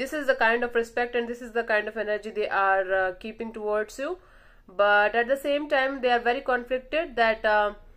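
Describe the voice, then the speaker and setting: With ordinary pitch variation, the talking runs at a fairly quick pace. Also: woman. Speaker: tarot reader. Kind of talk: tarot reading monologue. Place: home room. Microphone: phone near.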